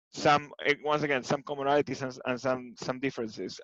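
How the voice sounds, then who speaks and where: A man with an Argentine accent speaks at a fairly high pitch, with a dry, close sound with no echo. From Argentina, Buenos Aires. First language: Spanish. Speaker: tech executive. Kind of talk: interview. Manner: hesitant, many fillers.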